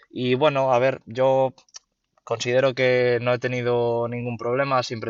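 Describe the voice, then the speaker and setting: A man speaks with a Galician accent. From Galicia, Spain. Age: 20s. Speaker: university student, sneaker reseller and investor. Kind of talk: interview. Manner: hesitant, many fillers and repetitions.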